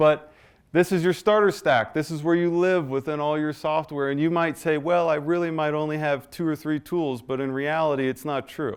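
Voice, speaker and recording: At a moderate pace, a man talks in an unremarkable speaking voice. His pitch is fairly high and his intonation fairly even. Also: quiet background. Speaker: AI business owner and presenter. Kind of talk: business presentation.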